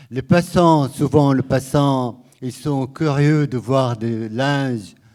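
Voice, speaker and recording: A man speaks at a very slow pace and medium pitch, with ordinary pitch variation. The recording is very clean, with a silent background. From Syria, Armenian community. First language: Armenian (speaking French). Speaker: artist photographer. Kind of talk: conference talk. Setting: lecture hall with audience.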